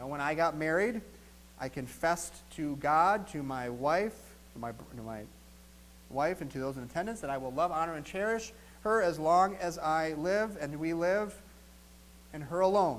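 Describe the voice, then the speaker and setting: Speaking in an American accent, a man keeps a moderate pace broken by long, frequent pauses. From US Midwest, southeastern Wisconsin. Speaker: pastor. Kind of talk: sermon. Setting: church. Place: church.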